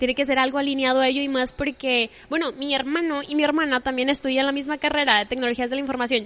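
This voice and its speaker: A woman talks at a very fast pace with a high pitch and monotone, flat intonation. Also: very even loudness. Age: 20s. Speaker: poetry content creator. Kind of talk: casual chat. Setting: coffee shop.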